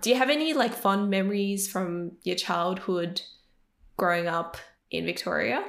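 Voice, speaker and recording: A woman talks at a moderate pace in an Australian accent. Her voice is medium in pitch, with lively intonation. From Sydney, Cabramatta area. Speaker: podcast co-host. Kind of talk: casual interview chat.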